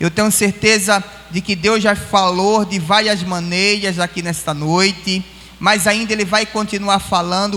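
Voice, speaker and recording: A man's fairly slow, raised and projected voice, high in pitch with fairly even intonation, over noticeable background noise. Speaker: pastor. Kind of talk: sermon. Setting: church.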